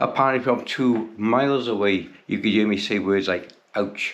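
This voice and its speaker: This is a man speaking. He has an English accent. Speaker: bicycle restoration YouTuber. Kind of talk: tutorial. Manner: casual.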